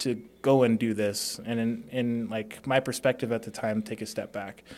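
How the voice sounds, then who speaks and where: A man with a plain, everyday voice, medium pitch and fairly quick pace, on a very clean recording with a silent background. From Las Vegas, Nevada (born in Hawaii). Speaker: door-to-door sales professional, former college football player. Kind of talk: casual interview.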